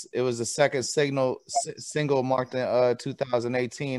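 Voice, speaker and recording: A man speaks in an ordinary speaking voice, medium in pitch, with fairly even intonation. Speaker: talk show host. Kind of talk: casual interview talk.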